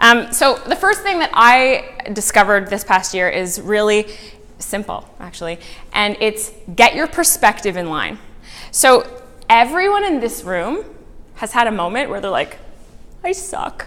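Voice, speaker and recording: A woman speaks loudly and fairly slowly with long, frequent pauses, using a fairly high pitch, very wide pitch swings and a bright, sharp tone. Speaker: motivational speaker. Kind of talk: talk to a live audience. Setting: room with audience.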